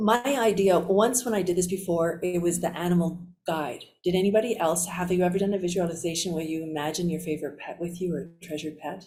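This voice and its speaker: A woman's fairly low, somewhat breathy voice with a dark, mellow tone, fairly even intonation and a fairly quick pace. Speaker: physician and resilience trainer. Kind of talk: workshop debrief.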